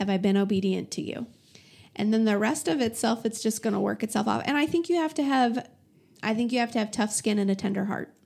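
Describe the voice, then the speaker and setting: A woman's somewhat breathy, fairly high voice with lively intonation at a very fast pace. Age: 40s. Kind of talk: interview testimony. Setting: office.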